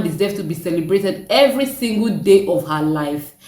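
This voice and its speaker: A woman with lively intonation, amid audible room echo and noticeable background noise. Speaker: content creator. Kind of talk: reaction vlog.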